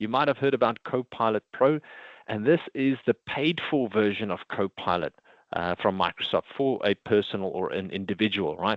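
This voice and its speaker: Here a man speaks at a moderate pace. He has a South African accent. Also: medium pitch for a man, ordinary pitch variation. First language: Afrikaans. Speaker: IT consultant presenting a product. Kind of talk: webinar presentation.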